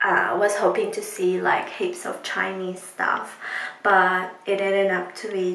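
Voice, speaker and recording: Amid audible room echo, a woman speaks at a fairly slow pace. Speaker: vlogger. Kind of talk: casual vlog chat. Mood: relaxed, recounting the evening. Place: bathroom. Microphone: phone near.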